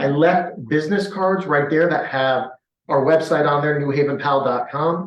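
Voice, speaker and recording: With clear echo from the room, a man's rather high voice shifts in pitch by a typical amount. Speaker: police sergeant. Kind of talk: community meeting presentation. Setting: public meeting with audience and Zoom. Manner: fast; animated.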